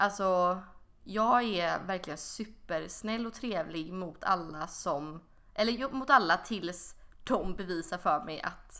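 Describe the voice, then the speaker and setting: Bright and sharp in tone, a woman speaks at a very slow pace. Her pitch varies in an ordinary way. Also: medium pitch for a woman. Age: 20s. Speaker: podcast co-host. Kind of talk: casual chat.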